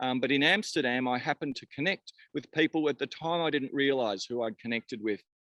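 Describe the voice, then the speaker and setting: Speech comes at a very fast pace in an Australian accent, with hardly any pauses and ordinary pitch variation. The tone is bright and sharp, and the sound is dry and close with no echo. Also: man, fairly high pitch for a man. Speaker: cannabis company founder. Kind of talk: podcast interview.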